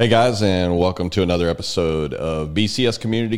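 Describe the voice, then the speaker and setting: The speaker has an American accent. The pace is very fast. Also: man. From Texas, San Antonio. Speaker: podcast host. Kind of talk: interview; scripted intro. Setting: studio.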